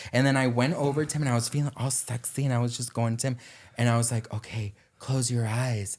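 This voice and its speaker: Somewhat breathy and animated in tone, a man talks at a very fast pace with a medium pitch. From Denmark. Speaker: social media commentator. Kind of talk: casual chat.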